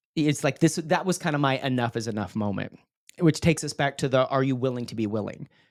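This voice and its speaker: Speaking at a very fast pace, a man has an American accent. The recording is very clean, with a silent background. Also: medium pitch for a man, ordinary pitch variation. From West Texas. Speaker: public speaker and emcee. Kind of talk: podcast interview, personal story.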